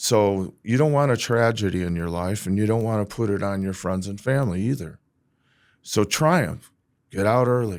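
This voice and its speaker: On a very clean recording with a silent background, a man speaks at a moderate pace, his fairly low pitch showing ordinary variation. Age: 60s. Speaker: real estate agent. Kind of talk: podcast interview. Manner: animated.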